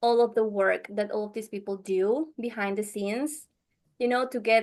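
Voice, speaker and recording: With a Venezuelan accent, a woman speaks at a moderate pace and a fairly high pitch, keeping fairly even intonation against a quiet background. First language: Spanish. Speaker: podcast editor. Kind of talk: interview. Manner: halting.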